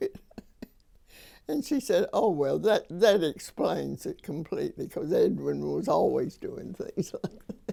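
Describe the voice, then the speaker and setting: A woman at a fairly slow pace, in an Arkansas accent. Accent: Southern US (Arkansas). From US South, Arkansas (small town near Conway). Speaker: storyteller recalling her life. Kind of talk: oral history storytelling.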